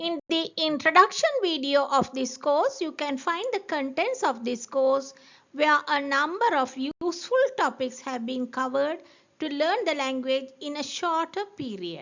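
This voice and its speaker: A woman's high-pitched, lively voice with a Tamil accent, at a fairly slow pace. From Sri Lanka, Jaffna. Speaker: language teacher. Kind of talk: course introduction, scripted narration.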